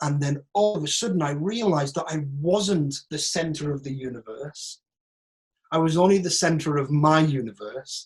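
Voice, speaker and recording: This man speaks with a northern English accent at a moderate pace, his voice somewhat breathy. His pitch is fairly high, with ordinary pitch variation. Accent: northern English, broad. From northern England, Teesside. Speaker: actor. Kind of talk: Q&A monologue. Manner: animated.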